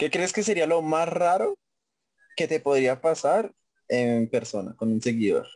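This man's pitch swings very widely as he talks at a fairly slow pace. He leaves long, frequent pauses. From Colombia, Facatativá (Cundinamarca). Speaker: podcast host. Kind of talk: casual chat.

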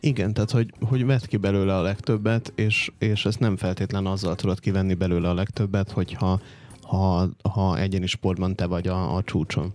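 A normal speaking voice with very even loudness, fairly even intonation and a moderate pace. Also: man, fairly low pitch for a man. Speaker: podcast co-host. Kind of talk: casual chat.

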